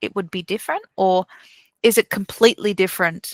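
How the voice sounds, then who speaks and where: Bright and sharp in tone, a woman speaks at a moderate pace in a very clean recording with a silent background and a dry, close sound with no echo. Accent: Australian. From Newcastle, Australia. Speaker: delivery manager and podcaster. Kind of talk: interview chat.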